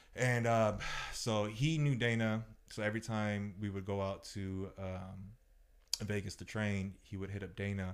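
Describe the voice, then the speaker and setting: Fairly slow and with fairly even intonation, an ordinary speaking voice talks. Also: man, fairly low pitch for a man. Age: 30s. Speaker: podcast guest, food vendor. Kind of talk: casual chat.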